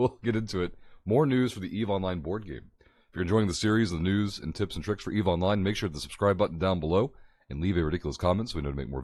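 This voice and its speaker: Using a put-on character voice, a man rattles along at a very fast pace, hoarse and very deep with low pitch. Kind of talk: casual online video host.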